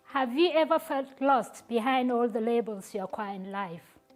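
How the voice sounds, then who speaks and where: Music plays behind a woman who talks at a moderate pace. Her voice is high in pitch, with lively intonation. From Nigeria. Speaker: public speaker. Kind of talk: inspirational stage presentation.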